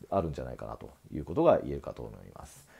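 A man's voice carries vocal fry and a dark, mellow tone. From Japan. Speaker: acupuncture clinic owner, health commentator; medical commentator. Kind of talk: solo video commentary. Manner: frequent filler hesitations. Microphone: earbuds.

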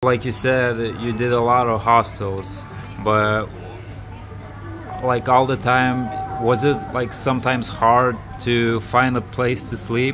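Over clear background music, the speaker talks very slowly in a flat monotone, with long, frequent pauses. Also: man. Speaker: interviewer. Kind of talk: casual interview questions. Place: cafe. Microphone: phone near.

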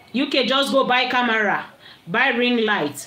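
Speaking at a fairly slow pace, a woman is heard with audible room echo. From Nigeria. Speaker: livestream vlogger. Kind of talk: casual livestream chat. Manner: animated. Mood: annoyed, scolding. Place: home room. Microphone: phone near.

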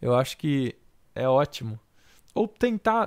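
The background is quiet as a man talks at a very slow pace, his pitch swinging very widely. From Brazil, São Paulo (Osasco); São Paulo, Brazil. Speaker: digital painter giving portfolio reviews. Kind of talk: livestream portfolio critique; live stream critique commentary. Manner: casual, hesitant with many fillers. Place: home room.

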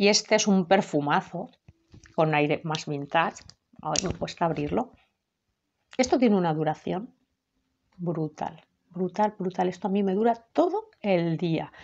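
A woman with a fairly low voice speaks at a moderate pace with ordinary pitch variation. She leaves long, frequent pauses. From Spain. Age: 30s. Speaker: perfume youtuber. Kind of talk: product review. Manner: halting. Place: home room. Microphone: webcam.

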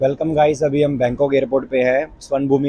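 Recorded dry with no echo, a man speaks at a moderate pace. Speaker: travel vlogger. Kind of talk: casual vlog chat. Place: station. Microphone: lapel.

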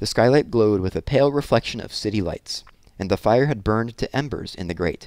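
Simply plain reading aloud.

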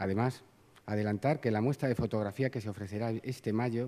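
This man talks at a very fast pace with a dark, mellow tone, fairly low pitch and fairly even intonation. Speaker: master of ceremonies, Holy Week board official. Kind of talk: formal ceremonial address. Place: hall. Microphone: podium.

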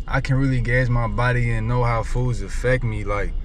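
Light background noise is present, and the sound is dry with no echo. A man speaks at a moderate pace. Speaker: truck driver vlogger. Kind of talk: casual vlog chat. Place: car.

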